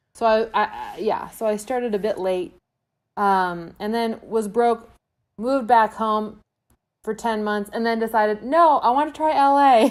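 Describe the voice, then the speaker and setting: Her pitch fairly high with ordinary variation, a woman speaks at a moderate pace. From Quebec City, Canada. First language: French. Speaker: actress and sketch comedian. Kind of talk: casual podcast interview.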